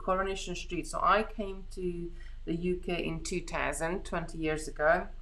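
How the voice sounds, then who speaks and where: A woman with a Hungarian accent talks at a fairly slow pace amid audible room echo. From Hungary. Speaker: beading craft host. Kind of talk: live craft tutorial chat. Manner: halting, many restarts.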